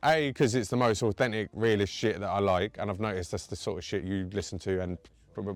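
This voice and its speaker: Music in the background behind a man of fairly low pitch with ordinary pitch variation. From East of England (Essex, Cambridgeshire). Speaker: rapper. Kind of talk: casual interview.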